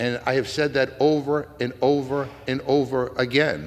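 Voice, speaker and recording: A man with a Massachusetts accent talks at a fairly slow pace in a medium pitch. His intonation stays fairly even. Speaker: congressman. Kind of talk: floor debate speech. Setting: legislative chamber. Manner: halting, many fillers.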